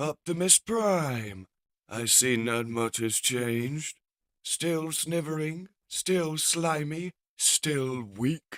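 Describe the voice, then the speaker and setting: A man uses a put-on character voice at a fairly high pitch. He talks at a very slow pace. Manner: gloating, sneering.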